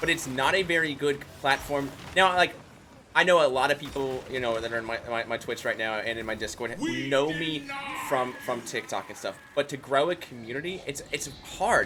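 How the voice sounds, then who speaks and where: A man with a fairly high voice talks at a moderate pace. His pitch varies in an ordinary way, and music is heard in the background. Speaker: streamer. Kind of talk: casual chat. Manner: loud and boisterous in short videos, normal here.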